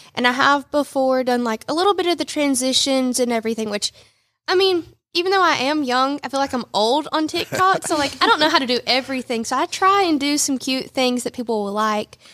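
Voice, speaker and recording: In a Southern US accent, a woman talks at a fairly quick pace with a high pitch, lively intonation and a bright, sharp tone. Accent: Southern US (Georgia). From US South, Rome, Georgia. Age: 20s. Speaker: boutique owner. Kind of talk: radio interview. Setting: studio.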